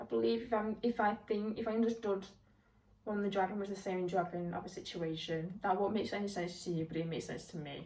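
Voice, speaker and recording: Speaking very fast with a British accent, a woman uses a medium pitch and ordinary pitch variation over noticeable background noise. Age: 20s. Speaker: book reviewer. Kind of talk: casual talk to camera.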